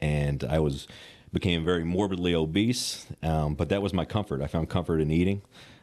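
A man's very deep, low voice with a Southern US accent, at a fairly quick pace with ordinary pitch variation and very even loudness, over a quiet background. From Western Kentucky. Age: 30s. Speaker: personal trainer. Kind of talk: casual interview. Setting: gym.

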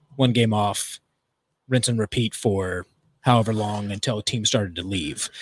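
At a moderate pace, a man with an American accent speaks in a dry, close sound with no echo. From US East Coast, Virginia. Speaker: club and arena DJ. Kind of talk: casual interview chat.

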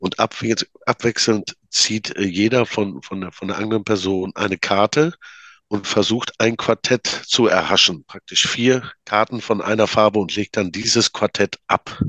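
A man's fairly slow delivery at a fairly low pitch, bright and sharp in tone with fairly even intonation, in a dry, close sound with no echo and a quiet background. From Münsterland, North Rhine-Westphalia. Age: 40s. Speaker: card game maker. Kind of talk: casual interview. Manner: halting.

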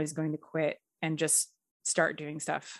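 Against a quiet background, a woman speaks at a moderate pace in a Canadian accent. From Edmonton, Alberta, Canada. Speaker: screenwriter and director. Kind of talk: casual interview.

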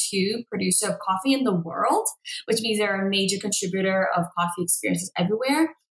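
Speaking fairly quickly, a woman uses an unremarkable speaking voice at a medium pitch, with lively intonation. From Boston, Massachusetts. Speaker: coffee company founder. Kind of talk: interview.

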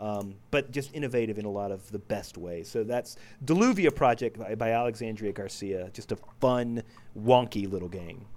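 The speaker has an American accent. The pace is moderate, with ordinary pitch variation. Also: man. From United States. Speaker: board game reviewer. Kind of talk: casual chat. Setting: video call. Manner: animated.

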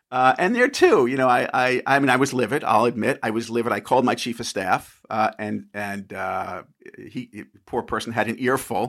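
A man with a New York accent speaks at a medium pitch and moderate pace with fairly even intonation. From New York, Long Island. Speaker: former congressman. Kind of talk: interview. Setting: remote call.

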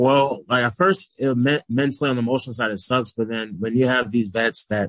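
He has a plain, everyday voice. This man's speech moves at a fairly quick clip, its pitch rising and falling in an ordinary way. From Texas (McKinney, near Dallas). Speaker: professional football player. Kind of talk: interview.

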